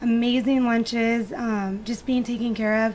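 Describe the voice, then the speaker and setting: A woman's high voice at a moderate pace with fairly even intonation, over noticeable background noise. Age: 20s. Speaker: actress and model. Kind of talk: interview. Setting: studio.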